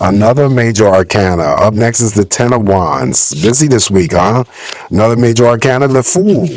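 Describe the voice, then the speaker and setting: A man speaks at a moderate pace in a medium pitch with lively intonation and very even loudness, over noticeable background noise. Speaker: tarot reader. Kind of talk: tarot reading. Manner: casual.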